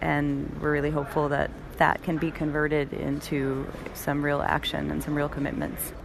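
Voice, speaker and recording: A woman's very deep, low voice at a moderate pace, with noticeable background noise. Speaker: scientist. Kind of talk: radio interview. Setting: remote from a conference.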